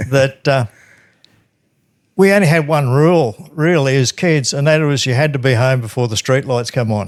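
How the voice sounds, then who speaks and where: A man with an Australian accent talks at a fairly high pitch and a moderate pace. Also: ordinary pitch variation. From Australia, rural New South Wales. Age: 60s. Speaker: funeral industry worker. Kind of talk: interview, life story.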